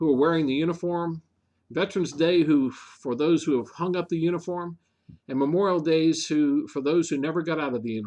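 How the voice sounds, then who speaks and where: A man speaks with a normal speaking voice, fairly high in pitch with ordinary pitch variation. The background is quiet. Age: 60s. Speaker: local government official, show co-host. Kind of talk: casual chat.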